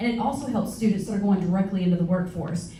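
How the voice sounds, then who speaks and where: With an American accent, a woman talks at a very fast pace, medium in pitch and with ordinary pitch variation. Noticeable background noise and audible room echo are present. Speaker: school board candidate. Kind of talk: candidate forum answers.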